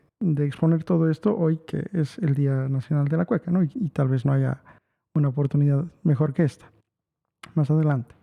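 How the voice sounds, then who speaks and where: A man with a La Paz accent speaks in a fairly high voice with a dark, mellow tone, fairly even intonation and very even loudness. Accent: La Paz Bolivian accent, noticeable. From Bolivia, La Paz. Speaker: musician and music teacher giving a talk. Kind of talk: online lecture. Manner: halting, many fillers.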